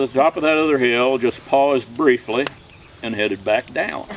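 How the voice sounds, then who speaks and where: Noticeable background noise sits behind a man speaking. He talks at a fairly quick pace with medium pitch. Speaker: storyteller. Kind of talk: campfire tall tale. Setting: outdoors. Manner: casual, folksy.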